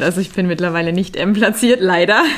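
A woman speaks at a very fast pace over noticeable background noise. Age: 30s. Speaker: riding instructor. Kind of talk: interview.

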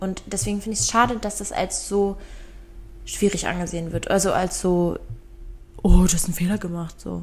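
Noticeable background noise runs under speech at a moderate pace broken by long, frequent pauses. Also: woman. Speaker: podcast co-host. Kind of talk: casual chat.

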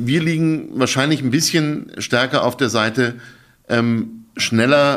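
A man with an unremarkable speaking voice at a fairly slow pace, with ordinary pitch variation, on a very clean recording with a silent background. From Berlin, Germany. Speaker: think tank director. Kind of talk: interview conversation. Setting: studio.

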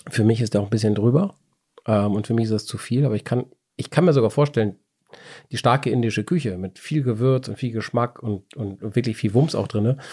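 On a very clean recording with a silent background, a man talks at a fairly quick pace and medium pitch with ordinary pitch variation and a dark, mellow tone. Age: 40s. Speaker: wine podcast host. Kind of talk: casual chat.

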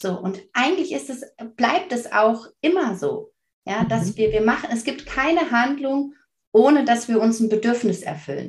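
This woman's voice is fairly high-pitched with vocal fry. She talks at a fairly slow pace with very wide pitch swings. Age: 30s. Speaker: parenting coach. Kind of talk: casual interview.

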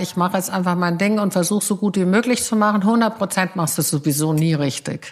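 A very fast pace from a woman at medium pitch. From Bavaria, Munich. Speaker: PR agency founder. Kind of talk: casual interview. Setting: at home.

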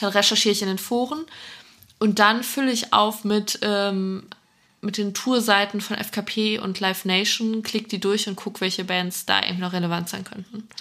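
Bright and sharp in tone, a woman speaks at a moderate pace and medium pitch with fairly even intonation. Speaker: festival podcast co-host. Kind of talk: casual chat.

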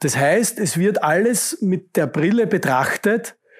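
A man with a high pitch speaks at a very slow pace, his intonation lively. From Austria, Upper Styria (Judenburg). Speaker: construction company executive. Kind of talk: interview. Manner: repetitive false starts.

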